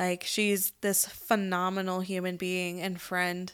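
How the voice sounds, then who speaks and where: The woman's pitch is medium and her pace very slow. The recording is very clean, with a silent background. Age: 20s. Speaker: podcast co-host. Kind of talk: casual chat.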